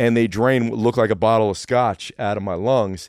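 A man with a normal speaking voice talks at a fairly quick pace with fairly even intonation, in a dry, close sound with no echo and a quiet background. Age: 40s. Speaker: fitness coach. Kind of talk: casual chat.

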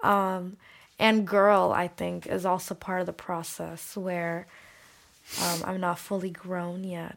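At a very slow pace, a woman speaks in a medium pitch with monotone, flat intonation, in a very clean recording with a silent background. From Saudi Arabia, Bangladeshi family. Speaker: musician and artist. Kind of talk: casual chat. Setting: studio.

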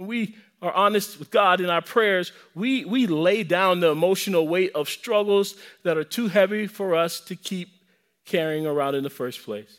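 On a very clean recording with a silent background, a man speaks at a high pitch with an American accent. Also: ordinary pitch variation, moderate pace. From US South. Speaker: pastor. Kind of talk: sermon. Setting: church.

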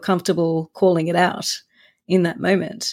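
On a very clean recording with a silent background, a woman speaks at a fairly quick pace in a fairly low pitch. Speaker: senior in-house lawyer. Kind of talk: interview conversation.

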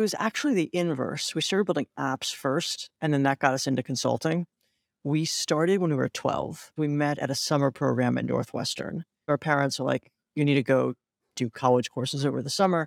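With an American accent and a normal speaking voice, the speaker goes at a fairly quick pace with ordinary pitch variation in a very clean, dry, close recording with no echo and a silent background. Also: man, fairly high pitch for a man. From US Midwest, Cleveland, Ohio. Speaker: tech startup founder and CEO. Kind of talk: interview.

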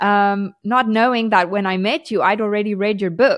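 A woman with a plain, everyday voice, medium pitch and ordinary pitch variation. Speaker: podcast co-host and skincare founder. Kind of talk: casual chat.

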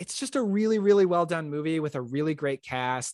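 A man with an unremarkable speaking voice, fairly high pitch and lively intonation, in a dry, close sound with no echo. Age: 20s. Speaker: podcast host and film fan. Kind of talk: casual chat.

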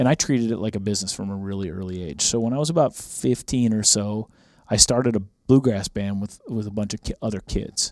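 The background is silent on this very clean recording. Pitch rises and falls in an ordinary way. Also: man, fairly low pitch for a man, fairly quick pace. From rural Minnesota, US Upper Midwest. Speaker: country music artist and hunting TV host. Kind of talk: casual chat. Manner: animated.

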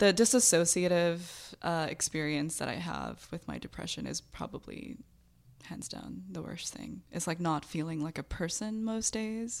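In an ordinary speaking voice, a woman talks at a moderate pace with a fairly low pitch and lively intonation, in a very clean recording with a silent background. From US, raised by Bangladeshi immigrant parents. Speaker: artist and poet. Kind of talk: candid interview.

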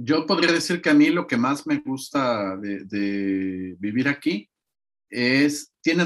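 A man is speaking. His pace is very slow. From Mexico. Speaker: interview guest. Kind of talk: interview.

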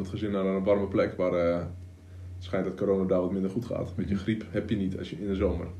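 In a room with audible echo, a man talks at a fairly quick pace, his very deep, low voice dark and mellow and his intonation flat and monotone. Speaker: online entrepreneur, coach. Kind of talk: casual chat. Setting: home studio.

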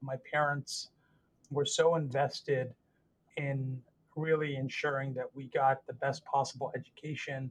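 A somewhat breathy man speaks at a fairly high pitch. His pace is moderate and his intonation fairly even. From US, Northern Virginia. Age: 40s. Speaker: trauma surgeon. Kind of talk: interview.

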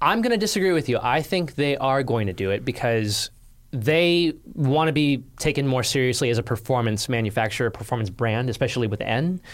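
A man talks at a fairly quick pace in a medium pitch, with lively intonation, very even loudness, and a normal speaking voice, on a very clean recording with a silent background. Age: 30s. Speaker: automotive journalist. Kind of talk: casual chat.

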